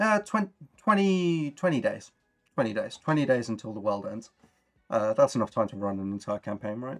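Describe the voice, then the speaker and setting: At a moderate pace, a man with medium pitch makes very wide pitch swings and big swings in loudness. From Birmingham, England. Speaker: tabletop RPG streamer. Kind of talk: casual chat. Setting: live stream.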